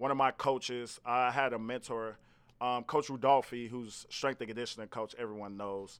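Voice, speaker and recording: A man with an American accent, medium pitch and ordinary pitch variation, in a very clean recording with a silent background. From Gary, Indiana, US Midwest. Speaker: fitness coach and trainer. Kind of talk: casual interview chat. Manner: animated, energetic.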